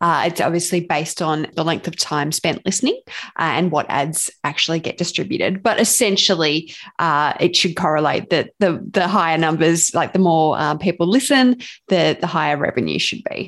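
Against a quiet background, a woman with an Australian accent speaks at a moderate pace, her fairly low pitch showing ordinary variation. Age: young. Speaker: podcast co-host. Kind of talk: casual interview chat.

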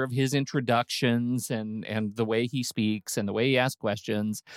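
Here is a man with an ordinary speaking voice, medium pitch and fairly even intonation at a moderate pace. The sound is dry and close with no echo, a very clean recording with a silent background. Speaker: podcast host.

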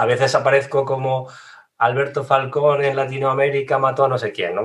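A man's unremarkable speaking voice at a medium pitch. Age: 40s. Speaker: digital marketing trainer. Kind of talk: casual interview.

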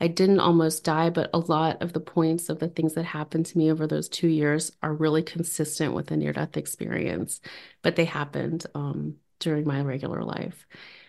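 A woman speaks with an American accent at a very deep, low pitch, using vocal fry and a moderate pace. Her intonation is monotone and flat, and the background is quiet. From New Orleans, US South. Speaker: spiritual experience sharer. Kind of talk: casual interview chat. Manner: soft-spoken, quiet.

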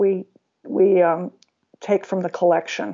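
In a Californian accent, a woman speaks at medium pitch and a moderate pace with fairly even intonation. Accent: Californian American. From US West Coast, San Diego. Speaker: cartoonist and writer. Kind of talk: casual interview. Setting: Skype call.

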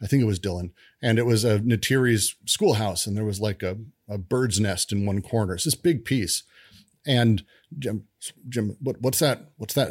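With an American accent and a normal speaking voice, a man talks at a moderate pace and fairly low pitch, his pitch varying in an ordinary way, on a very clean recording with a silent background. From US, Denver, Colorado. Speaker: game developer. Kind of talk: casual chat.

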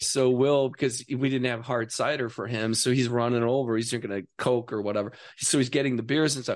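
A man with an American accent talks at a fairly quick pace and medium pitch, with hardly any pauses. His is an ordinary speaking voice, with fairly even intonation over a quiet background. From Wisconsin, US Midwest. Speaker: writer and actor. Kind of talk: casual chat. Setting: studio.

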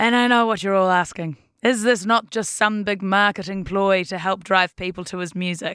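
In a very clean recording with a silent background, a woman with a bright, sharp tone speaks at a medium pitch and a moderate pace, her intonation fairly even. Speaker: podcast news host. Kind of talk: news podcast presenting, conversational.

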